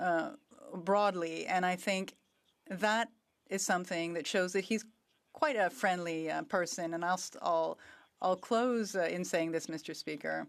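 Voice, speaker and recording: A woman with a Quebec accent talks at a fairly slow pace, leaving long, frequent pauses. Her pitch varies in an ordinary way on a very clean recording with a silent background. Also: medium pitch for a woman. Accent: Québécois French accent in English. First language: French. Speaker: member of parliament. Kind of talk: parliamentary tribute speech. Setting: parliament chamber.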